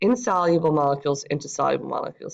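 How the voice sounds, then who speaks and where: A woman with a very deep, low pitch talks very fast. Her pitch variation is ordinary, and the background is quiet. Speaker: high school biology teacher. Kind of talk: lecture.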